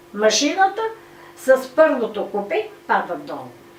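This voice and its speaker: Amid audible room echo and noticeable background noise, a woman speaks at a very slow pace with very wide pitch swings. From Bulgaria, Novi Pazar. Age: 90s. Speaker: war veteran. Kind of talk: testimony. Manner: halting.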